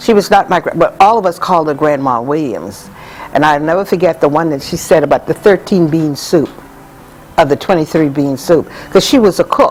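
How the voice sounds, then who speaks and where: The speaker has an American accent and ordinary pitch variation at a moderate pace. Noticeable background noise runs through the clip. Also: woman. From US South, Georgetown, South Carolina. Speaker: community elder. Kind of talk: interview storytelling.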